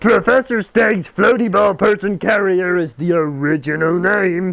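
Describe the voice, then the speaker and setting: A put-on character voice with a pompous tone at a moderate pace. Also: man, high pitch for a man. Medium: read story. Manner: pompous, formal.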